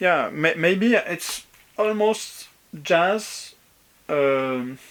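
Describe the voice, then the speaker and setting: A man speaks at a very slow pace with a French accent, his pitch high for a man and his intonation lively. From France, Brittany. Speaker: vinyl collector. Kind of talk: video response, casual talk. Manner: halting, many fillers.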